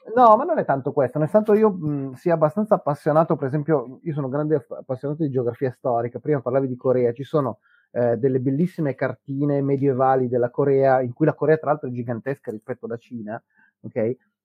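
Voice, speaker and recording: A man speaks with a fairly high pitch. His pace is very fast. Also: ordinary pitch variation. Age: 50s. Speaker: history podcaster. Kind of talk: casual chat. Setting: live stream.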